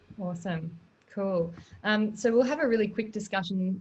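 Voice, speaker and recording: Somewhat breathy, a woman with an Australian accent talks at a moderate pace with ordinary pitch variation. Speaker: webinar moderator. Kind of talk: webinar moderation. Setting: online webinar.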